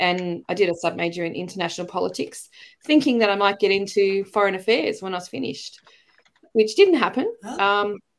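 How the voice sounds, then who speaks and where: With an Australian accent, the speaker talks at a fairly quick pace with ordinary pitch variation. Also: woman, medium pitch for a woman. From Australia, Melbourne. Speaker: teacher and educator. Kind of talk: casual interview chat.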